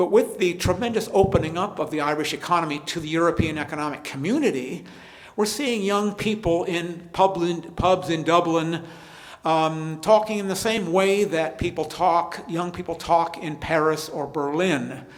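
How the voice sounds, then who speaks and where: This man speaks at a moderate pace in a high voice with ordinary pitch variation, and audible room echo surrounds him. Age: 70s. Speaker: history professor. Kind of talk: lecture Q&A. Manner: halting, repeats words.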